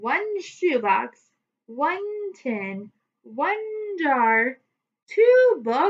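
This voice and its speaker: In a put-on character voice, a woman hits an extremely high pitch with very wide pitch swings. She goes at a very slow pace. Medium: read story.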